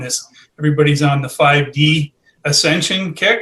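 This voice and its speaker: It is a plain, everyday voice. The pace is moderate. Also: man. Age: 60s. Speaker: spiritual author. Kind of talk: podcast interview.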